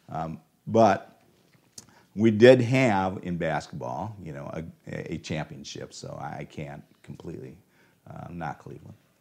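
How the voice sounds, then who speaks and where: Speaking in a Midwestern American accent, the voice moves at a fairly slow pace with vocal fry, very wide pitch swings and big swings in loudness. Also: man, very deep, low pitch for a man. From Ohio, US. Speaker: preacher. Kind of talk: sermon.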